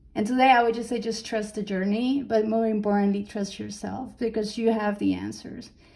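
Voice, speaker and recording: A woman's fairly high, dark, mellow voice at a fairly quick pace, monotone and flat in intonation, with audible room echo. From Colombia. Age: 40s. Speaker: conference speaker, personal trainer and coach. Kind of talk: panel interview talk. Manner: halting, many fillers.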